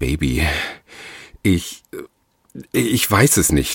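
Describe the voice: In a put-on character voice, a man speaks very slowly at a low pitch with big pitch swings, vocal fry and a slightly husky edge, the sound dry and close with no echo.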